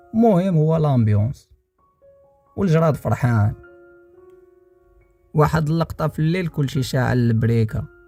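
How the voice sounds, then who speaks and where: Over music in the background, a man with a fairly high pitch speaks with lively intonation and long, frequent pauses. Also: moderate pace. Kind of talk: storytelling narration.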